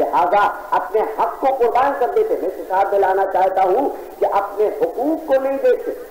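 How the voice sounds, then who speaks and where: A man speaks with lively intonation. Noticeable background noise runs beneath him. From India-born, lived in Karachi, Pakistan. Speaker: Shia religious scholar delivering a sermon. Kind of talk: Urdu religious oration on Islamic history. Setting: imambara gathering, old recording.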